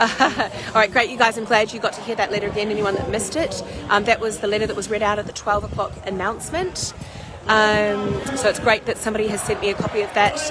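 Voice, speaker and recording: Over noticeable background noise and audible room echo, a woman talks at a very fast pace. Her fairly high voice keeps fairly even intonation. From New Zealand. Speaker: protest livestreamer. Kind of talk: livestream commentary. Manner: halting, many fillers.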